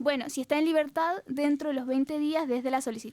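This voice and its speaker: The voice moves at a very fast pace with a monotone, flat intonation and a dark, mellow tone. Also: woman. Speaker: law student radio presenter. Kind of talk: explanatory legal presentation.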